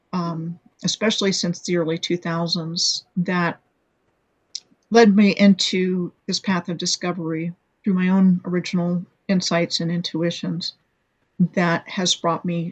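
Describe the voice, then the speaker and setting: With a dry, close sound and no echo, a woman speaks at a fairly slow pace in a somewhat breathy, fairly low voice with monotone, flat intonation. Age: 60s. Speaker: blogger and video maker on hidden history. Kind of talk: interview. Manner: halting, many fillers and restarts.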